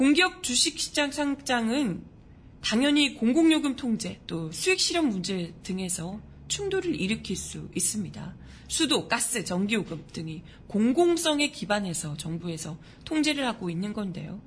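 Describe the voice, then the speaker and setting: A woman speaks at a fairly high pitch with very wide pitch swings. Her voice is somewhat breathy, and her pace is fairly slow. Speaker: news show host. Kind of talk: news commentary with casual talk. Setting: live-streamed studio broadcast. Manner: chatty, animated.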